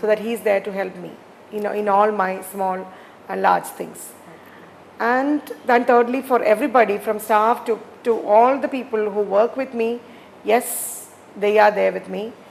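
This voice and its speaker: Fairly even intonation at a fairly slow pace comes through over noticeable background noise. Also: woman. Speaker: entrepreneur. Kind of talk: interview. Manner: halting, many fillers.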